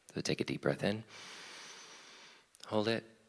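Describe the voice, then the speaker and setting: A man talks with noticeable vocal fry. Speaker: small group leader. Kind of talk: guided meditation intro in worship service. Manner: fast.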